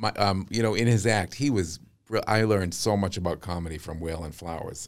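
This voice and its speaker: With a Boston accent, a man of very deep, low pitch speaks at a fairly quick pace. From Massachusetts, US. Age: 50s. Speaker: vocal coach. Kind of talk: casual chat. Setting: studio. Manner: animated.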